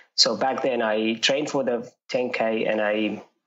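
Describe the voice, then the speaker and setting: This is a man speaking. He talks with a Jordanian accent. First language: Arabic. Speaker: runner. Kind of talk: interview. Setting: podcast. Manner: halting, many fillers.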